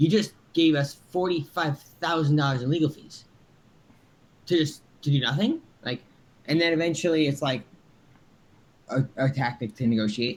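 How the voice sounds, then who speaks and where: A man's fairly high, somewhat breathy voice with ordinary pitch variation and long, frequent pauses. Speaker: startup founder. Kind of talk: casual interview chat. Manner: fast, with many fillers and restarts.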